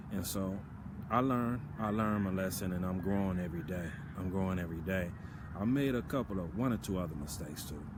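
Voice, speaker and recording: Speaking at a fairly quick pace with an American accent, a man's very deep, low voice carries audible room echo. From US South. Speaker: video blogger. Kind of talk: casual monologue. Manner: halting, filler-heavy.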